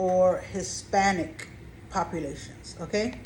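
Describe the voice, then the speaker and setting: A woman speaks very slowly at a medium pitch with vocal fry, and audible room echo surrounds her. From Caribbean. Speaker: real estate consultant and YouTuber. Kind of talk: informational vlog. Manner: deliberately slow.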